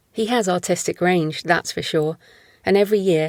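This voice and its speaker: In an unremarkable speaking voice, a woman talks with a fairly low pitch and fairly even intonation, the sound dry and close with no echo on a very clean recording with a silent background. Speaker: author narrating own fiction. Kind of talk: audiobook short story reading.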